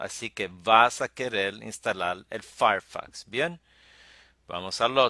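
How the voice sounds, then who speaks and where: A man's bright, sharp voice at medium pitch and a very slow pace, with lively intonation and a dry, close sound with no echo in a very clean recording over a silent background. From New York (Brooklyn), Puerto Rican parents. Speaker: tech tutorial youtuber. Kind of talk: tutorial. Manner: halting, many fillers.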